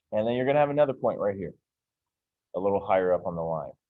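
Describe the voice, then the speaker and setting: A man talks at a very fast pace. His pitch sits fairly low. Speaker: math teacher. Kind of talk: classroom lecture. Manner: casual, with fillers.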